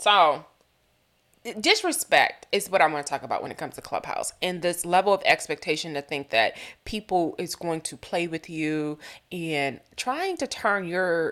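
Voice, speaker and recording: Speaking at a moderate pace with a fairly low pitch and ordinary pitch variation, a woman with an American accent is heard in a very clean recording with a silent background. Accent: sometimes southern. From Boston. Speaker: podcast host. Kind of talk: casual commentary. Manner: animated.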